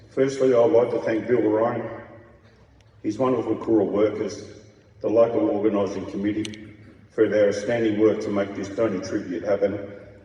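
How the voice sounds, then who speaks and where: A man with an Australian accent talks at a moderate pace and a fairly low pitch. His intonation is fairly even, and the room echo is audible. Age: 60s. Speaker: transplant recipient speaker. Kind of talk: testimony.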